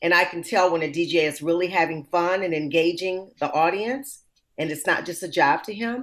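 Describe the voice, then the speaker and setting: A woman's fairly low voice, a plain, everyday voice, at a moderate pace with ordinary pitch variation. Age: 60s. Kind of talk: casual chat.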